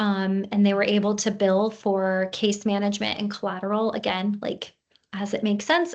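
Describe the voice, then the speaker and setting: A woman with a plain, everyday voice talks at a moderate pace and a medium pitch. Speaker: practice consultant. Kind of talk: webinar presentation. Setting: online webinar.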